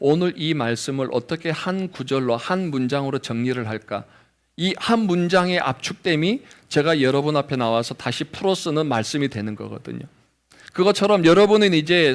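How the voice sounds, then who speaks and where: Fairly high-pitched for a man, this male speaker moves at a moderate pace with lively intonation. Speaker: pastor. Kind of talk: sermon. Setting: church. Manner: occasional pronunciation slips.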